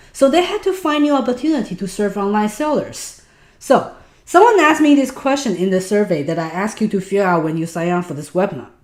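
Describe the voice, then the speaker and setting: A woman at medium pitch with a Taiwanese accent, talking very fast with very wide pitch swings. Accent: Taiwanese Mandarin. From Taiwan, then Los Angeles from age 14. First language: Mandarin. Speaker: online business instructor. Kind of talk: webinar. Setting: online webinar.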